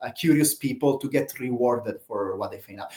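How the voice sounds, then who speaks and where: Talking at a fairly quick pace, a man has a fairly high pitch. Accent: Italian. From Italy. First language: Italian. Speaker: open-source project leader. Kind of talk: live Q&A talk. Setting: live stream. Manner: halting, many fillers.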